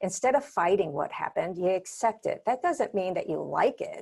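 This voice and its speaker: The woman here has a dark, mellow tone at a medium pitch. The background is quiet. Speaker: business consultant webinar presenter. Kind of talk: webinar presentation. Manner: fast.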